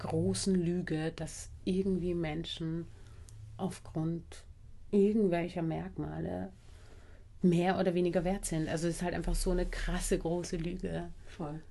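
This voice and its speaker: The speech moves at a fairly slow pace. There is audible echo from the room. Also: woman. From Austria, Vienna. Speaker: anti-racism trainer and bodyworker. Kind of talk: casual interview conversation.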